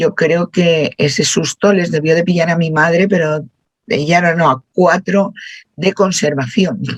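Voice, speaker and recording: Somewhat breathy and fairly low-pitched, a woman speaks at a fairly slow pace with ordinary pitch variation in a dry, close sound with no echo. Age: 60s. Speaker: workshop participant. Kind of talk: group discussion.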